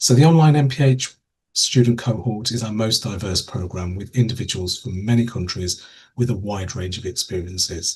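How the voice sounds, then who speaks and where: A man speaks at a medium pitch with ordinary pitch variation and a somewhat breathy quality. His loudness swings widely against a quiet background. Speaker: program director for public health. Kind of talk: online information webinar. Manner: fast.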